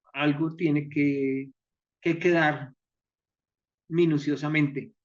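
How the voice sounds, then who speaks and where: The setting is quiet. In it, a man speaks very slowly. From Colombia, Pamplona (Norte de Santander). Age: 70s. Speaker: choreographer and stage director. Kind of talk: interview. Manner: halting, with many fillers.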